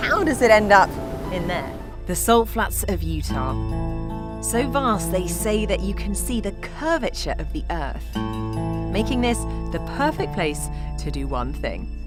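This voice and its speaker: A woman speaks at a fairly slow pace in an upbeat, enthusiastic tone. Music plays in the background. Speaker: TV presenter. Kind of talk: TV documentary presenting to camera.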